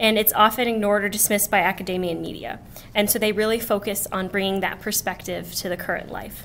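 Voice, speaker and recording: A woman at a very fast pace, monotone and flat in intonation, with light background noise. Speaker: student event organizer; student event host introducing a speaker. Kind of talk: event introduction. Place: classroom. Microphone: podium.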